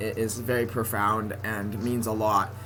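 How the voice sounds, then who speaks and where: A man with a General American accent at medium pitch, music in the background. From San Francisco Bay Area. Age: 20s. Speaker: college student. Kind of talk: casual talk to camera. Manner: occasional stutter.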